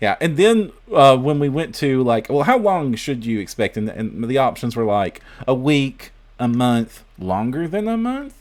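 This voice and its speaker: A man with an American accent speaks at a fairly slow pace in a medium pitch, his voice swinging very widely in pitch. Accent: Southern US, usually suppressed, stronger now. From US South. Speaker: podcast host. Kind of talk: casual chat. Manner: halting.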